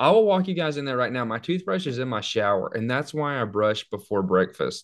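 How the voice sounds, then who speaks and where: Lively intonation from a man at a fairly quick pace, over a quiet background. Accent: Alabama. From US South, northwest Alabama. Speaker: dental student. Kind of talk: casual chat.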